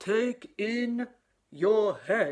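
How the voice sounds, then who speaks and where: A woman's put-on character voice, fairly high in pitch, with very wide pitch swings. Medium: read story.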